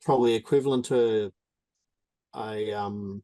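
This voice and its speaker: Very slowly and with fairly even intonation, a man speaks at medium pitch in a dark, mellow tone, with a dry, close sound and no echo. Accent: Australian. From Australia, Darwin. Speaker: drag racer. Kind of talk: Q&A with instructor.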